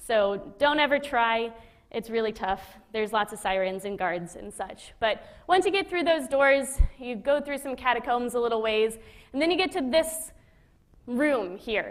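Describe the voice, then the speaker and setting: Her voice is high. The woman's intonation is lively. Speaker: former space station flight controller. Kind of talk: public lecture. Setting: auditorium with live audience. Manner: fast; casual, conversational.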